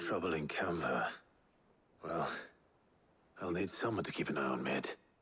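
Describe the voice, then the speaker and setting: A man's put-on character voice, raspy and very deep, with a calm tone, ordinary pitch variation, moderate pace and very even loudness. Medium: video game. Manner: calm, measured.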